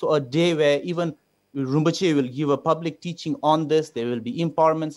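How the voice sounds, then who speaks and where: Fairly high-pitched man at a moderate pace, fairly even intonation, quiet background. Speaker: photographer and cultural project organizer; TV guest. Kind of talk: panel discussion. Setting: video call. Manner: formal. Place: home room. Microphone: video call.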